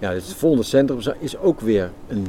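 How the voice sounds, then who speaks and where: A man with a fairly low pitch talks at a moderate pace, his intonation lively. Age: 60s. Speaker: architect and project initiator. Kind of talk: interview. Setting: outdoors in a garden.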